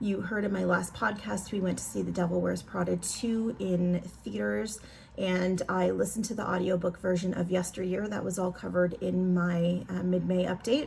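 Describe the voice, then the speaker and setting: A woman talks at a moderate pace with hardly any pauses. Audible room echo surrounds her voice. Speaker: crafting vlogger. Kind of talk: casual vlog chat. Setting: at home. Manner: loud; casual, many fillers.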